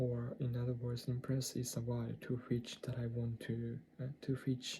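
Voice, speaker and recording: The speaker has a Japanese accent. The pace is fairly slow. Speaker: English learner vlogger. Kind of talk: language-learning video diary. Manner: halting, many self-corrections.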